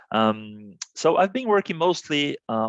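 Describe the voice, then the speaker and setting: A man speaks with a Portuguese accent. His pitch variation is ordinary. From Brazil, Santos. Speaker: business executive. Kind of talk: interview. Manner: halting, many fillers and repetitions.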